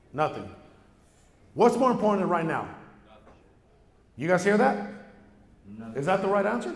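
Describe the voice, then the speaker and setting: Lively intonation rises and falls through long, frequent pauses, with audible room echo around the voice. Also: man, high pitch for a man, moderate pace. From Mexico, raised in San Diego area. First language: Spanish. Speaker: real estate entrepreneur, keynote speaker. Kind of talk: keynote speech. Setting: stage with audience. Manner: animated.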